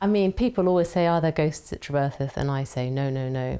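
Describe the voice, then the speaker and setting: A woman's ordinary speaking voice at a moderate pace. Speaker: country house owner. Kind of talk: casual talk to camera. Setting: indoors in a historic house.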